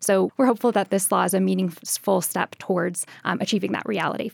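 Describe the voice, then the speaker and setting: A woman speaks with vocal fry. The sound is dry and close, with no echo. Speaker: policy analyst. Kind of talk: radio interview. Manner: many filler ums.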